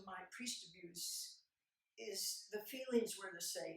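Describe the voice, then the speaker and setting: The speech comes very slowly, with audible room echo around it. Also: woman. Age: 70s. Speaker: abuse survivor and advocate. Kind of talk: talk at a conference. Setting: stage with audience. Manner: halting.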